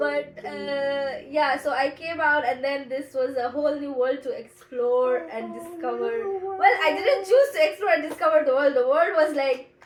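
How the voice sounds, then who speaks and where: Over noticeable background noise, a high-voiced woman talks at a moderate pace with ordinary pitch variation and hardly any pauses. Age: 20s. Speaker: podcast co-host. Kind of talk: casual chat.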